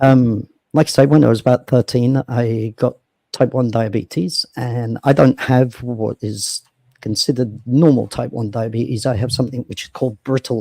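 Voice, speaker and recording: A man speaks at a moderate pace with a medium pitch and fairly even intonation. His tone is dark and mellow, and the sound is dry and close with no echo. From England, south London (Sydenham). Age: 40s. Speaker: founder of a social platform. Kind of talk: interview talk. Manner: hesitant, many fillers.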